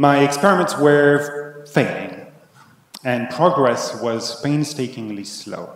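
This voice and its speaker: Someone speaks at a very slow pace with a French accent. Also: man. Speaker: conference keynote speaker. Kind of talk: keynote talk. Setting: conference, partly virtual audience.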